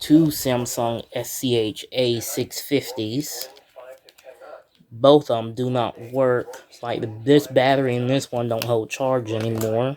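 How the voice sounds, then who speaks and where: A man at a medium pitch speaks at a very slow pace. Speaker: YouTuber, phone collector. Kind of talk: show-and-tell video. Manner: halting.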